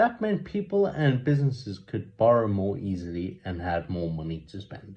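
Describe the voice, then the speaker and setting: Somewhat breathy, a man with a South African accent speaks at a moderate pace, his pitch swinging very widely. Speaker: amateur news reader. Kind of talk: reading aloud. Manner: halting, with repeated words and self-corrections.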